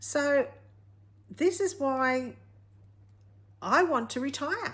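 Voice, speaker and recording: A woman with an Australian accent speaks at a high pitch. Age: 50s. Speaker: retired craft vlogger. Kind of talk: casual vlog talk to camera. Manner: halting.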